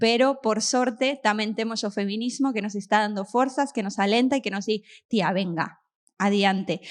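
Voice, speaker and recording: Here is a woman with an Argentine accent. Her pitch is fairly high and varies in an ordinary way. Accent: Argentine-accented Galician. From Argentina. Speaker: show host. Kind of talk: stand-up style opening monologue to live audience.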